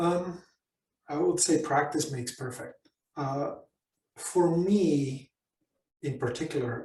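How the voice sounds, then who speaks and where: The voice has a dark, mellow tone and is somewhat breathy, with ordinary pitch variation. It moves at a very slow pace with long, frequent pauses. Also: man, fairly high pitch for a man. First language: not English (English is third language). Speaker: business consultant and coach. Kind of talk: workshop Q&A. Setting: online workshop.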